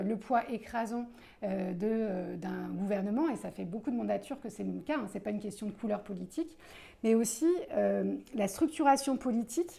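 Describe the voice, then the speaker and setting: A woman's fairly high voice in a dark, mellow tone, with vocal fry and lively intonation. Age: 40s. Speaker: political candidate. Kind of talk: interview. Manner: hesitant, many filler sounds.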